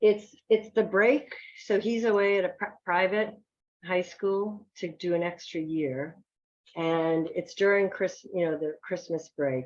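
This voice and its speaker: A woman speaks with a fairly low pitch. Her pace is very slow. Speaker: author. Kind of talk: reading aloud. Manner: halting, trips over words.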